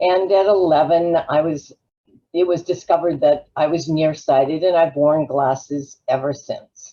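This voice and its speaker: A woman with an American accent, very deep and low in pitch, fairly slow and fairly even in intonation. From Los Angeles, California. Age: 70s. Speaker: travel advisor. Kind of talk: webinar presentation.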